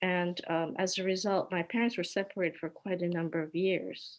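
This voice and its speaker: A woman speaks at a medium pitch with a Hawaiian accent. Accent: American, Hawaii-raised. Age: 70s. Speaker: peace activist. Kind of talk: personal testimony with slides.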